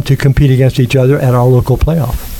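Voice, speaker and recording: A man with a fairly high-pitched voice speaks over noticeable background noise. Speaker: youth sports volunteer organizer. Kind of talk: interview.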